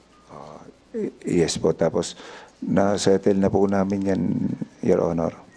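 Fairly low, fairly slow male speech with fairly even intonation, big swings in loudness, long, frequent pauses and noticeable background noise. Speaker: town mayor. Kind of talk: testimony at hearing. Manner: deferential.

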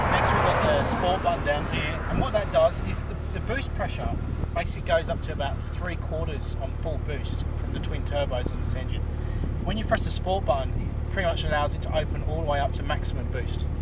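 Loud background noise surrounds a man talking at a fairly quick pace. The sound is dry, with no echo. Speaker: car reviewer. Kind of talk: casual car review walkthrough. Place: car. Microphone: camera far.

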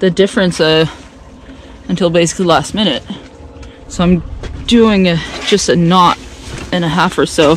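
There is light background noise behind a woman speaking at a moderate pace. Her pitch varies in an ordinary way, and the sound is dry with no echo. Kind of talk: casual vlog chat. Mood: tense, careful. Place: boat. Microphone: phone near.

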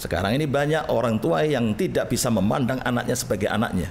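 A man at a very fast pace, with lively intonation, very even loudness and light background noise. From East Java, Indonesia (Gresik); East Java, Indonesia. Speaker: Islamic cleric; guest. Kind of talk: interview. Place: studio. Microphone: studio mic.

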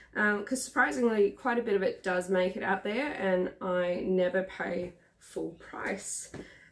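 With an Australian accent, a woman speaks at a fairly slow pace and with ordinary pitch variation. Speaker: vlogger. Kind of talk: casual vlog haul. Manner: chatty, hesitant with many ums. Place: home room. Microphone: camera far.

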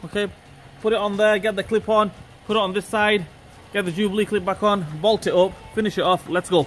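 A fairly quick pace over light background noise. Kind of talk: tutorial. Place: garage.

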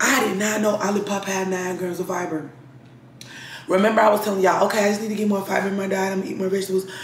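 Over noticeable background noise, a woman with a medium-pitched voice speaks very fast. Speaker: lifestyle vlogger. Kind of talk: casual vlog. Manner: animated.

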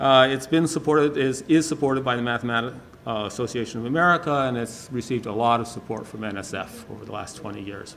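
Music plays behind a man talking at a very fast pace with hardly any pauses. His loudness swings widely, while his pitch variation is ordinary. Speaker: conference speaker. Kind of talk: lecture. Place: hall. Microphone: podium.

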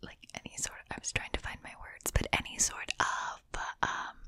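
Whispering and soft-spoken, a woman talks at a moderate pace with big swings in loudness. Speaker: whisper video creator. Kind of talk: casual soft chat to viewers. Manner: soft rambling ASMR whisper. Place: home room. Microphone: studio mic.

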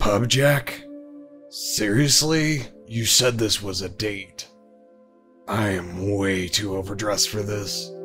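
Faint music plays behind a man doing a put-on character voice, fairly low in pitch and at a fairly slow pace. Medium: fan dub. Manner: sarcastic, grumpy.

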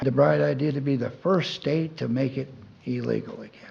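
A man talks at a moderate pace, his voice dark, mellow and somewhat breathy. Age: 70s. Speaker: public commenter. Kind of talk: public comment. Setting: city council meeting.

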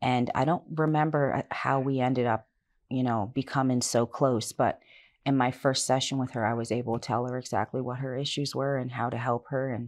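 A woman speaks in a very deep, low voice with monotone, flat intonation. Her pace is fairly quick. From Halifax, Nova Scotia, Canada; Nova Scotia, Canada. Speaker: life coach and author; life coach. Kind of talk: interview. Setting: studio. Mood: calm, personal, earnest. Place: studio. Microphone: lapel.

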